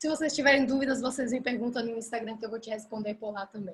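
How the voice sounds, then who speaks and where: A woman's voice, high in pitch. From Belgium, Ghent (Flanders). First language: Dutch (speaking Portuguese). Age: 20s. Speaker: language teacher and online coach. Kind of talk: live online class. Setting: live video stream. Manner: casual, with hesitations.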